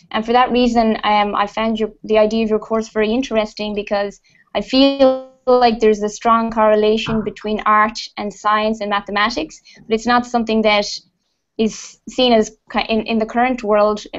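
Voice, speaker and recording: Over music in the background, a woman speaks at a fairly high pitch and a moderate pace, her intonation monotone and flat. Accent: Irish. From Ireland. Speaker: computer programmer. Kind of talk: video call discussion.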